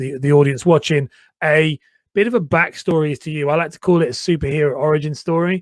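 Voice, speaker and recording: A man's fairly high voice at a fairly quick pace, with a slight northern English accent and a dry, close sound with no echo. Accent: slightly posh slightly northern English. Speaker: personal branding coach and podcast host. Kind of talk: casual interview chat.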